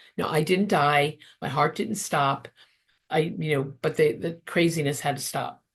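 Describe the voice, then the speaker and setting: Against a quiet background, a woman with a very deep, low pitch talks at a fairly slow pace in a somewhat breathy voice. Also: ordinary pitch variation. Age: 60s. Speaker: therapist and interfaith minister. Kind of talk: interview testimony.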